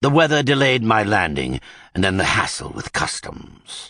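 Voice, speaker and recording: A man puts on a loud character voice at a medium pitch. His pitch swings very widely. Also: moderate pace. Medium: read story. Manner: brisk, authoritative.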